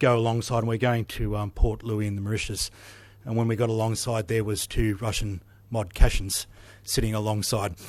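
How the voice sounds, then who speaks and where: Flat, monotone delivery from a man with a fairly low pitch and an Australian accent, on a very clean recording with a silent background. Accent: Australian drawl. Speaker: naval officer. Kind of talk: conference speech.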